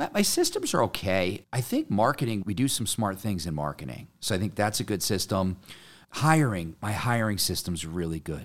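A man with an American accent talks in an ordinary speaking voice, fairly low in pitch with lively intonation. He keeps a moderate pace on a very clean recording with a silent background. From Connecticut. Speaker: painting business owner. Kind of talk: casual interview chat. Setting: in person.

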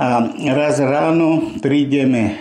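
Very slow speech from a man, with noticeable background noise and audible room echo around it. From western Slovakia, Nitra. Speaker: Holocaust survivor and war veteran. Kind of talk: oral history testimony. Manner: halting, with repetitions.

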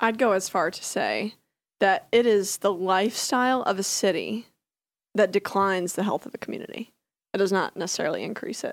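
A woman speaks in a normal speaking voice with an American accent, at a medium pitch and a fairly quick pace. Her pitch varies in an ordinary way, and the recording is very clean with a silent background. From rural US. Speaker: health tech startup CEO. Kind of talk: casual chat.

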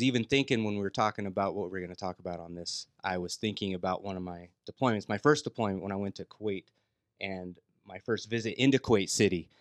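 Against a quiet background, a man has an unremarkable speaking voice at a fairly low pitch, with a dry, close sound and no echo. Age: 40s. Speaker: gym member. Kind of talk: casual chat.

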